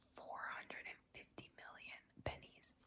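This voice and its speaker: This voice belongs to a woman. She speaks in a whisper. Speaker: ASMR creator. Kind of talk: whispered ASMR ramble to camera. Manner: whispered, casual, chatty.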